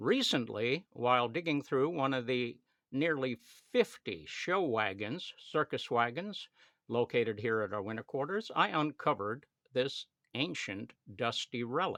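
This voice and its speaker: A man speaks with a bright, sharp tone and lively intonation. The sound is dry and close with no echo, over a quiet background. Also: medium pitch for a man, fairly slow pace. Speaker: circus showman. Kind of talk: casual talk to camera.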